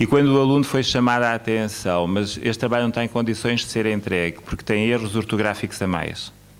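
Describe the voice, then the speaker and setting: Pitched in the medium range for a man, this man's voice has ordinary pitch variation. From Mozambique. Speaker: academic speaker at education conference. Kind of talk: conference speech. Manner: hesitant, many fillers.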